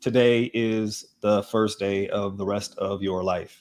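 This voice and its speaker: A man uses a put-on character voice that sounds robotic. He speaks at a fairly low pitch and a fairly slow pace. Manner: flat, robotic, monotone.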